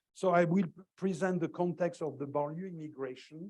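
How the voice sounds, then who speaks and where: Speaking in a French accent, a man keeps to a moderate pace. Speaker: professor. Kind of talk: lecture. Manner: halting, many fillers.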